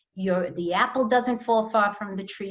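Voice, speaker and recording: A medium-pitched woman in a New York accent, moderate pace and ordinary pitch variation. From New York, Long Island (Five Towns) and Brooklyn. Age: 60s. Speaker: author. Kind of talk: reading aloud; author talk.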